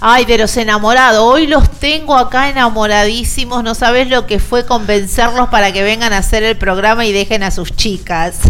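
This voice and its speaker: Animated in tone, the speaker keeps a moderate pace with hardly any pauses, amid audible room echo and noticeable background noise. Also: woman, fairly high pitch for a woman, ordinary pitch variation. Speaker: rugby radio show host. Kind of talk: radio show hosting and interviews.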